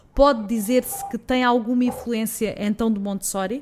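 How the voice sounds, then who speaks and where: Her pitch is high, and its variation is ordinary. The woman keeps a moderate pace. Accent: European Portuguese. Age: 30s. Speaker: podcast host, journalist. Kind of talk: interview.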